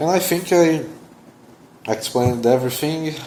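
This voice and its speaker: Noticeable background noise accompanies a man talking with a non-native accent. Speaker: security researcher YouTuber. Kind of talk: technical explainer video. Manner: hesitant, many fillers.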